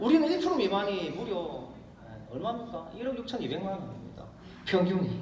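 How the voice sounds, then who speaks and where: With a Gyeongsang accent, the voice goes at a fairly quick pace with very wide pitch swings, amid noticeable background noise and audible room echo. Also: man. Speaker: network marketing distributor and speaker. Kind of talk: motivational business seminar talk. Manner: animated, excited delivery.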